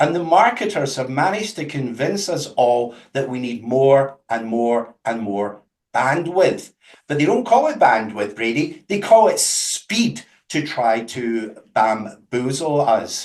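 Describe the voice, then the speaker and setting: A man speaks very slowly at a medium pitch, with a Scottish accent. His pitch swings very widely. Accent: Scottish, unchanged after 22 years in US. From Scotland. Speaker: company representative. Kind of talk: webinar presentation.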